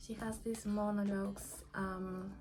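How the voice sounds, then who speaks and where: A fairly slow pace in a Spanish accent, with audible room echo and music in the background. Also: woman. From Peru. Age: 20s. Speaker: book vlogger. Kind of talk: casual monologue. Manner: halting.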